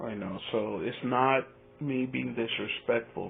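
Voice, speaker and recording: Speaking at a fairly slow pace, a man with a Spanish accent keeps a fairly even intonation. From Spanish-speaking country, village. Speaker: YouTube reaction commentator. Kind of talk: casual vlog commentary. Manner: halting, repeats words.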